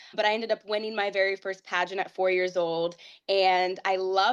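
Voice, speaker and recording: A woman speaks with a Midwestern accent against a quiet background. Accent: American Midwest. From Ohio, US (Whitehall). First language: Portuguese. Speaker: pageant titleholder. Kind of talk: interview.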